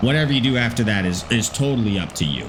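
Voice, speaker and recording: A voice with a slight Albertan accent comes through noticeable background noise. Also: man. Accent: very mild Canadian (Alberta). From Alberta, Canada. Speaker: gaming streamer. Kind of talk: live stream chat.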